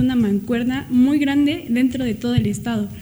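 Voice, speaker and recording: A woman talks at a moderate pace while noticeable noise sounds in the background. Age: 20s. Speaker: law student, party youth member. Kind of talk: radio interview.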